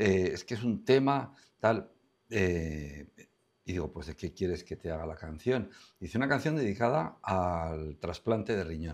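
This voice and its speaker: A man speaks with a very deep, low pitch. His intonation is lively. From Spain, La Rioja (Logroño); La Rioja, Spain. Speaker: songwriter and singer; interviewee. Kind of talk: interview. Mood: warm, amused storytelling. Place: studio. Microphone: lapel.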